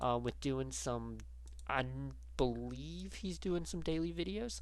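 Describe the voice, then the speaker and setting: Room echo can be heard. A man talks at a fairly slow pace. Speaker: gaming YouTuber. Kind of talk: casual vlog chat. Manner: halting, many fillers.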